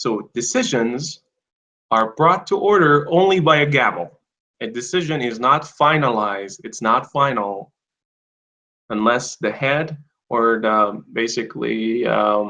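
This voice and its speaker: A man with a non-native accent speaks at a fairly slow pace in a medium pitch. His tone is bright and sharp, and his intonation is lively. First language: not English. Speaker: English teacher. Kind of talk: online class. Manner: casual, profane.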